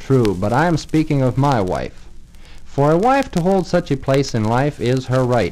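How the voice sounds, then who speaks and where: With an American accent and a normal speaking voice, a man talks at a moderate pace and medium pitch with lively intonation. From Pennsylvania, US. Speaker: private citizen reading his letter on radio. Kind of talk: radio broadcast reading of a letter. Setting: radio studio, old 78rpm recording. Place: studio.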